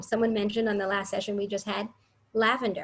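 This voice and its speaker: A woman talks at a fairly high pitch and a fairly quick pace. Her voice is somewhat breathy. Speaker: early childhood education trainer. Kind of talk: workshop presentation.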